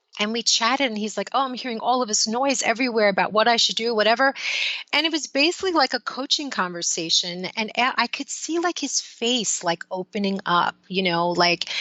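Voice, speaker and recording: A woman talks fairly quickly with a lively, fairly high voice as noticeable background noise plays. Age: 50s. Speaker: life coach. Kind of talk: interview. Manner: casual, conversational.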